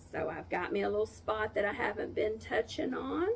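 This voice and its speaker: A woman speaks over noticeable background noise. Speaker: wound care nurse. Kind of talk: tutorial.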